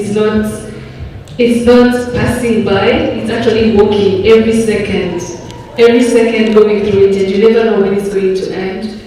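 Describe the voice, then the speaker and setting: A woman's flat, monotone voice at a moderate pace, with audible room echo and noticeable background noise. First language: French. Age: 30s. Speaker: audience member, entrepreneur. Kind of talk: audience question at summit. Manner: halting, many fillers.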